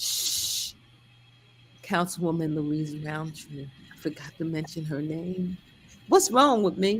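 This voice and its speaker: A woman's somewhat breathy, fairly low voice, very slow, with long, frequent pauses, big swings in loudness and ordinary pitch variation. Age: 60s. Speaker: pastor and event host. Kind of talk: casual live stream chat. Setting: live stream. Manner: animated.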